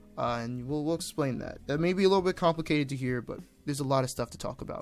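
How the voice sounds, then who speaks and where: Music plays behind a man with a fairly high pitch. He talks at a very fast pace with ordinary pitch variation. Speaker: indie game developer. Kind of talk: vlog-style dev update. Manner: stumbling over words.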